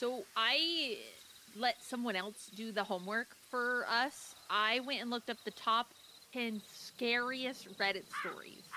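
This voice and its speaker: Over noticeable background noise, a woman speaks at a fairly slow pace. Her pitch is high, with ordinary variation. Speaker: streamer. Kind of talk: casual chat. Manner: casual, informal.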